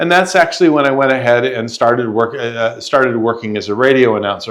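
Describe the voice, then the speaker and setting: A man talks very fast in a medium pitch, and his pitch varies in an ordinary way. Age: 70s. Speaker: software professional and podcast guest. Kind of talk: interview.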